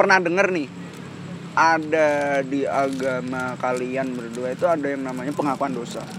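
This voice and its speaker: A man speaks at a fairly high pitch and a moderate pace. Noticeable background noise runs underneath. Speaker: podcast co-host. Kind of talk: casual chat.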